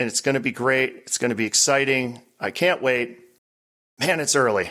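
A man puts on a raspy character voice at medium pitch. He keeps a moderate pace. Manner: flat, tired, unenthusiastic.

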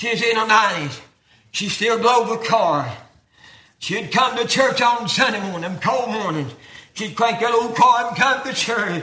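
A man with an American accent uses a raised, projected voice at an extremely high pitch. He speaks at a fairly slow pace with ordinary pitch variation. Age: 70s. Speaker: preacher. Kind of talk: sermon. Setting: church.

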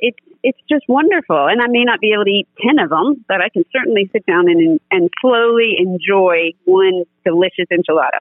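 At a medium pitch and moderate pace, a woman speaks with lively intonation and very even loudness. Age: 40s. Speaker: guest sharing personal illness story. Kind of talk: testimony.

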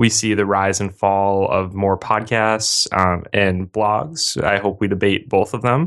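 With an unremarkable speaking voice, a man talks at a fairly slow pace and fairly low pitch, his intonation fairly even, with hardly any pauses and a quiet background. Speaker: podcast host.

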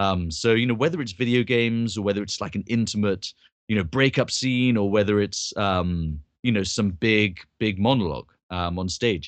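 A man with an English accent talks at a moderate pace and a fairly low pitch, with ordinary pitch variation, against a quiet background. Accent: received pronunciation, posh English. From London, England. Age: young. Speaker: actor and voice actor. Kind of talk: interview. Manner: well-spoken.

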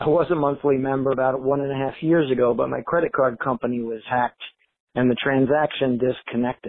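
A man talks in a plain, everyday voice at medium pitch, keeping his intonation fairly even. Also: fairly quick pace. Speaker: personal trainer, listener contributor. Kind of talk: recorded listener message.

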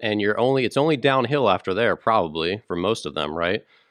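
Against a quiet background, a man with an unremarkable speaking voice talks with lively intonation in a dry, close sound with no echo. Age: 30s. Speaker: podcast co-host. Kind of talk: casual chat.

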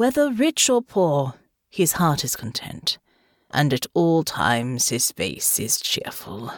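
Using a put-on character voice, a woman speaks slowly in a low pitch with very wide pitch swings. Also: dry, close sound with no echo.

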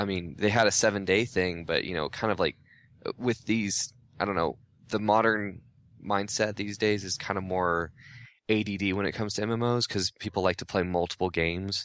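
An ordinary speaking voice from a man, fairly low in pitch, at a fairly quick pace with fairly even intonation and a quiet background. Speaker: gaming writer. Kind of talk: casual chat.

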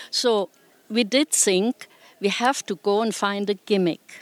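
With a German accent, a woman speaks at a very slow pace in a medium pitch with ordinary pitch variation, in a dry, close sound with no echo. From Germany. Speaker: retired nudist resort owner. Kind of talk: interview.

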